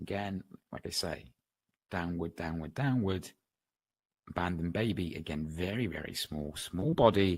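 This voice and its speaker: A man speaks with a West Country accent in a very deep, low voice with ordinary pitch variation. He keeps a moderate pace broken by long, frequent pauses. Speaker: trading educator. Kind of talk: webinar lecture. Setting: online webinar.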